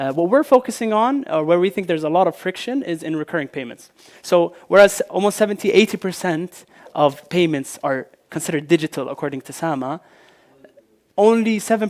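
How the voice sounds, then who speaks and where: A man with a high pitch speaks with lively intonation and big swings in loudness. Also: fairly quick pace, dry, close sound with no echo. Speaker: fintech founder. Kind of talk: conference presentation. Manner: fast; hesitant, many fillers.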